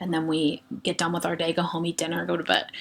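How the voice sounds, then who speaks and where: The pace here is very fast. The speech is in an American accent. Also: woman. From Western Pennsylvania. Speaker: education student presenter. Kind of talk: recorded class lecture presentation. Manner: casual, frequent ums.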